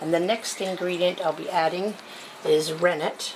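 A woman's normal speaking voice, fairly low in pitch, with fairly even intonation, a moderate pace, and light background noise. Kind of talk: tutorial. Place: kitchen. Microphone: phone near.

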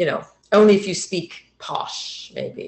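A woman with a fairly low pitch and a slightly mellow tone speaks slowly, her pitch swinging very widely. Room echo is audible.

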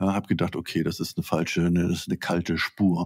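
A man speaks against a quiet background. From Schleswig-Holstein, northern Germany. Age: 60s. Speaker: literature professor. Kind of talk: interview. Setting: video call. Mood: calm, reflective. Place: home room.

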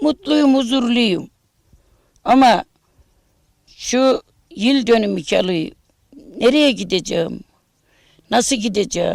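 A woman's high-pitched voice at a very slow pace, with lively intonation and long, frequent pauses. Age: 60s. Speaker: bereaved mother of a martyr. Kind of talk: news interview testimony.

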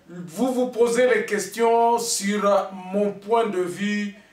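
Faint music plays in the background and the room echo is audible. The intonation stays fairly even. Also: man. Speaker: online news commentator. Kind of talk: direct-to-camera commentary.

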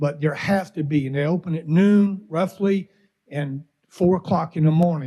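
This man's voice has a dark, mellow tone. He talks at a fairly slow pace with ordinary pitch variation. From US South, Mobile, Alabama. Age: 60s. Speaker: resident speaking at public comment. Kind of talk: public comment at government meeting. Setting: county commission meeting chamber.

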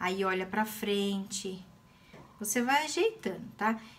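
A woman speaks in a somewhat breathy voice. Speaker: craft teacher. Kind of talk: tutorial. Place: home room. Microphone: phone near.

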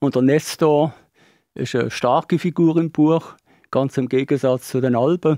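Against a quiet background, a man speaks at a fairly slow pace with a fairly high pitch, fairly even intonation and a dark, mellow tone, the sound dry with no echo. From Switzerland. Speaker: author; interviewee. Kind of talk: interview. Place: studio. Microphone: studio mic.

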